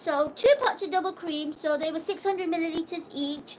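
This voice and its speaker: The speaker has a British accent and a lively, up-and-down intonation. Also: woman. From UK. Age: 20s. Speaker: cooking livestreamer. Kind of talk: live cooking stream chat. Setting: livestream. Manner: casual, chatty.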